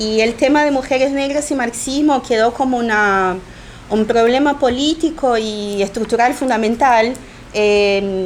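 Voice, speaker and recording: A woman at a fairly high pitch, with ordinary pitch variation, very even loudness and a fairly slow pace, over noticeable background noise. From Brazil. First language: Portuguese (speaking Spanish). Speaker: political activist and book editor. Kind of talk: talk interview. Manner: halting, many fillers.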